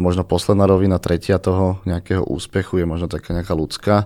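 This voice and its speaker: A very fast pace, a dark, mellow tone, and monotone, flat intonation, on a very clean recording with a silent background. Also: man. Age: 30s. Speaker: floorball coach. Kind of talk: casual podcast conversation.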